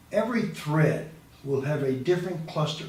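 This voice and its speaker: A man's fairly high voice comes through. There is noticeable background noise. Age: 70s. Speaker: animal advocacy video host. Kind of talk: casual talk to camera. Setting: studio with boom mic.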